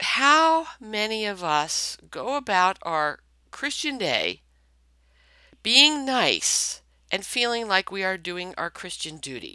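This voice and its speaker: At a very slow pace, a woman speaks with very wide pitch swings and a bright, sharp tone. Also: medium pitch for a woman. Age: 60s. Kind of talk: faith talk, spoken reflection. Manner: conversational with frequent fillers.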